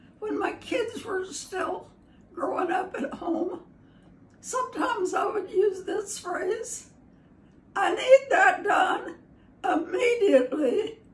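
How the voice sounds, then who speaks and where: With audible room echo, a woman speaks in an extremely high pitch. Her intonation is lively and her pace very slow. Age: 80s+. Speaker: grandmother sharing life wisdom. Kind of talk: short sayings to camera.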